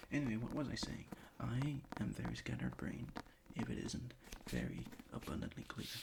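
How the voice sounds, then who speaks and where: A man whispers at a fairly quick pace. He leaves long pauses often. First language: not English. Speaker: ASMR creator. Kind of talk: casual ASMR chat. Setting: bedroom desk. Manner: halting.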